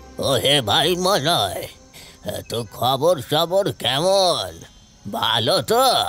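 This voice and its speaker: A man's put-on character voice, fairly high-pitched, very slow, with very wide pitch swings and faint music in the background. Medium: audio drama. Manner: familiar, folksy.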